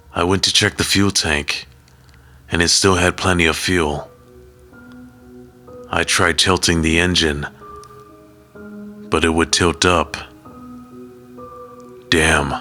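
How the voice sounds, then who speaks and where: A man with a very deep, low pitch at a very slow pace, very even loudness, fairly even intonation and long, frequent pauses, with music in the background. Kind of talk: horror story narration.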